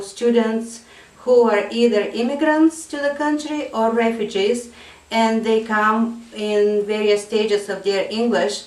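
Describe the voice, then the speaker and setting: Fairly slow speech in a Bulgarian accent, with audible room echo and noticeable background noise. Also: woman. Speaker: ESL teacher. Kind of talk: interview. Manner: hesitant with fillers.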